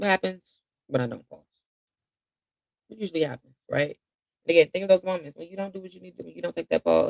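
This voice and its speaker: A man's very fast speech, with big swings in loudness and long, frequent pauses. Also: dry, close sound with no echo. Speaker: mindfulness coach. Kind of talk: guided meditation. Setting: live stream.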